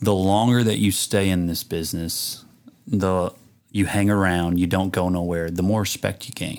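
With an American accent, a man talks at a moderate pace in a very deep, low pitch. His intonation is monotone and flat. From rural southern Illinois. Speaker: country singer. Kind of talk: casual interview.

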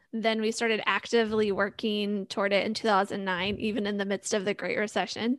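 A woman speaks at a fairly quick pace in a fairly high pitch, with an unremarkable speaking voice over a quiet background. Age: 30s. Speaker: financial strategist and podcaster. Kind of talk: casual interview.

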